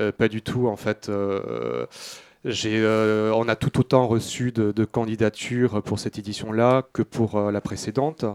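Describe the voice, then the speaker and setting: A man speaks at a very slow pace and a fairly low pitch, his intonation flat and monotone. The sound is dry and close, with no echo. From Toulouse, southern France. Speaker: film festival director. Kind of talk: radio interview. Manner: halting.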